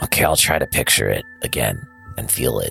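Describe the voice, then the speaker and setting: Against clear background music, a man rattles along at a fairly quick pace in a put-on character voice. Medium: actual play.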